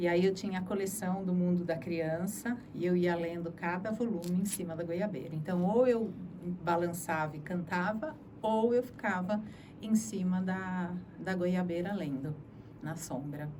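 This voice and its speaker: Speaking fairly slowly, a woman with a fairly low-pitched voice shows ordinary pitch variation. Audible room echo and noticeable background noise are present. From Brazil, Sorocaba (São Paulo interior). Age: 60s. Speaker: journalist. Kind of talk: interview testimony.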